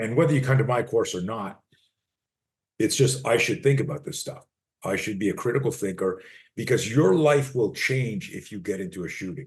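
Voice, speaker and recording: Somewhat breathy, a man speaks at a fairly quick pace with a medium pitch and lively intonation. His loudness swings a lot, and the background is quiet. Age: 60s. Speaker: self-defense coach. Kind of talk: interview. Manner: animated.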